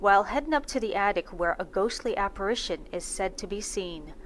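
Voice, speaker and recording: A woman speaks at a moderate pace with a medium pitch. It is an ordinary speaking voice. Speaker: radio host. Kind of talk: radio show narration.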